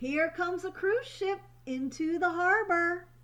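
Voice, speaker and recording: A woman's put-on character voice, squeaky and extremely high in pitch, with a warm, gentle tone and a fairly slow pace. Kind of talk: bedtime story. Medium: read story.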